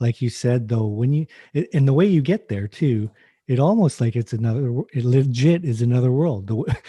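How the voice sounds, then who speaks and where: A man with a Canadian accent speaks at a fairly quick pace and medium pitch, with ordinary pitch variation. His tone is dark, mellow and somewhat breathy, and the sound is dry and close with no echo against a quiet background. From western Canada (British Columbia). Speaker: podcast host, hockey goalie coach. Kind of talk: casual chat.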